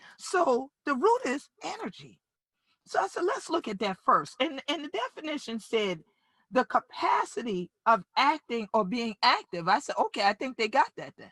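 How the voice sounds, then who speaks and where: In a dry, close recording with no echo, a woman talks in an animated tone at a moderate pace, her high pitch making very wide swings and her loudness rising and falling sharply. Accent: South Carolina Lowcountry. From Gullah/Geechee Sea Islands, US South coast. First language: Gullah. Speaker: community leader and justice advocate. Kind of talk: keynote speech. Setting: virtual summit.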